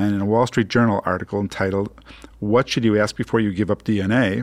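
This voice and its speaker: Dry and close with no echo, the recording captures a man in an ordinary speaking voice, pitched fairly low and moving at a fairly quick pace. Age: 60s. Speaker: radio host and physician. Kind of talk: radio talk show.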